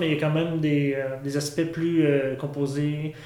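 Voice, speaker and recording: In a room with audible echo, a man speaks fairly slowly at a fairly high pitch, his intonation fairly even. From Quebec, Saint-Hyacinthe. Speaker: experimental musician, drummer. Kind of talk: interview. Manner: halting.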